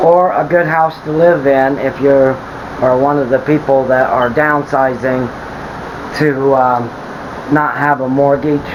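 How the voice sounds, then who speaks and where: Speech comes at a fairly slow pace with monotone, flat intonation. Noticeable background noise and audible room echo are present. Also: man. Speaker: tiny home builder. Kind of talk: video walkthrough tour. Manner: halting, stumbles over words; casual, conversational.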